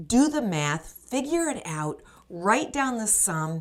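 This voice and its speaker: An upbeat tone carries very wide pitch swings. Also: woman. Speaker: life coach. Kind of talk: motivational podcast talk to camera. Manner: upbeat, encouraging.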